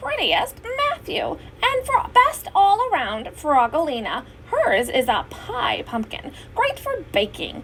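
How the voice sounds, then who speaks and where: Putting on a character voice at an extremely high pitch, a woman speaks fairly slowly with very wide pitch swings over clear background noise. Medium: read story. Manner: warm, announcing.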